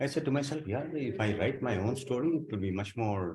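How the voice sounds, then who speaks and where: A somewhat breathy voice at a fairly quick pace. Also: man. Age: 60s. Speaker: author and journalist, former air force. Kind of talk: talk about his book at a meeting. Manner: halting.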